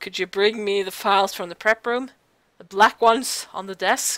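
A put-on character voice, female-sounding, at a medium pitch for a woman and a moderate pace. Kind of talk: reading game dialogue aloud in character. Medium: game stream. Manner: cold, smoothly polite, menacing. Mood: coolly polite.

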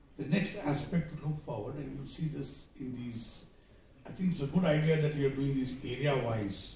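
A man's fairly high voice at a moderate pace with ordinary pitch variation, plus light background noise and audible room echo. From India. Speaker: director of a trade institute, economist; conference speaker. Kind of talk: conference address. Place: hall.

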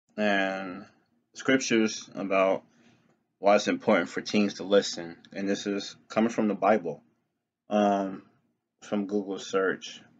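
Speaking at a fairly slow pace with long, frequent pauses, a man keeps a fairly low pitch and fairly even intonation over a quiet background. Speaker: religious vlogger. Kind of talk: reading scripture commentary. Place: home room. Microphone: webcam.

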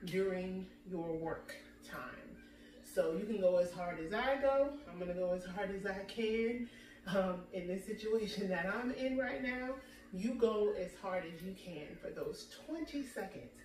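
The woman talks at a fairly slow pace. Light background noise and audible room echo surround her. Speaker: fitness instructor. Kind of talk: workout intro talk. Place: home room. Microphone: camera far.

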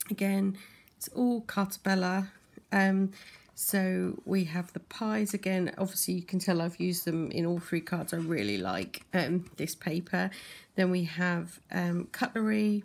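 Speech moves along fairly slowly. There's little rise and fall in the intonation. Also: woman. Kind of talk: craft show-and-tell tutorial. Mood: relaxed, friendly. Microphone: phone near.

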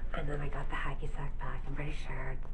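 A woman whispers at a fairly quick pace in a relaxed tone. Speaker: ASMR vlogger. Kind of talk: ASMR soft-spoken chat to camera. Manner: soft-spoken, relaxed, rambling. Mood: smiling, lightly amused. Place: home room. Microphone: webcam.

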